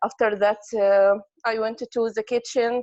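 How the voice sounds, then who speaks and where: A woman speaks with a non-native accent. Her pitch is fairly high. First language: not English. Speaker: English learner. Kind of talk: casual talk in online class.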